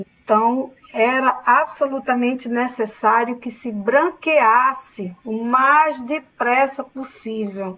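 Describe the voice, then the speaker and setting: Speaking at a very slow pace with hardly any pauses, a woman with a northeastern Brazilian accent uses a high pitch, ordinary pitch variation, and big swings in loudness. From Northeast Brazil, Paraíba backcountry (Sousa). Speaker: university professor. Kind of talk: online lecture.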